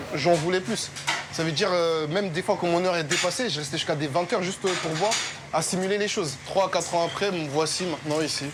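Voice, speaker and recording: A man with a high pitch and a Parisian accent talks at a fairly quick pace with fairly even intonation, over noticeable background noise and audible room echo. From France, Paris. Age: 20s. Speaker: restaurant chef. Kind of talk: interview in kitchen.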